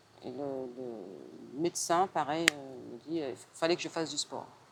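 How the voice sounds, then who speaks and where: A woman talks very slowly in a very deep, low voice with vocal fry and ordinary pitch variation. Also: long, frequent pauses, big swings in loudness. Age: 60s. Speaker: personal training client, secretary. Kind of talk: interview testimony. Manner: hesitant, many fillers.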